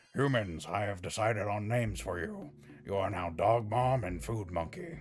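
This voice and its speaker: In a put-on character voice, a man speaks at a fairly low pitch over clear background noise. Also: moderate pace. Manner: commanding, imperious.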